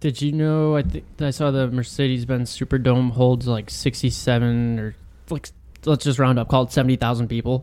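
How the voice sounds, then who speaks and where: A man speaks in a plain, everyday voice at a medium pitch. His intonation stays fairly even. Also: moderate pace. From Texas, born there but moved at age two. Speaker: sports podcast co-host. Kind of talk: casual chat.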